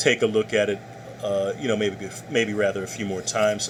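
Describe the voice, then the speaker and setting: Over noticeable background noise, the speaker's intonation stays monotone and flat. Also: man. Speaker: college professor. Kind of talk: lecture. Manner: fast.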